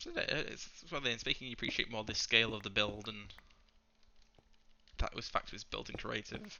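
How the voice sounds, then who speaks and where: Quiet man at medium pitch, fairly quick pace and fairly even intonation, with long, frequent pauses and noticeable background noise. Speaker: gaming YouTuber. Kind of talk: gameplay commentary. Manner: fast.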